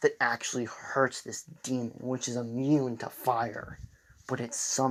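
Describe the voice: What is heard here is plain reading aloud.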